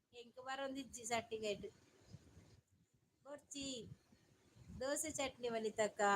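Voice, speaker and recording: High in pitch, a woman's voice keeps fairly even intonation. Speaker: live streamer. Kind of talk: casual live-stream chat.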